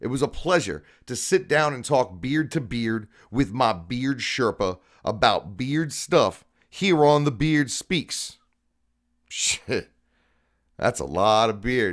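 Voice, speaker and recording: Speaking at a very slow pace with long, frequent pauses, a man uses lively intonation in a medium pitch. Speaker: podcast host. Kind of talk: scripted narration; casual chat. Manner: loud.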